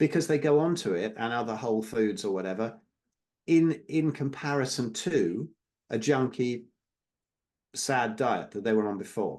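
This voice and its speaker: The speaker uses lively intonation in an English accent, with long, frequent pauses. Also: man, medium pitch for a man, moderate pace. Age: 60s. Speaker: carnivore diet advocate. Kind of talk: interview.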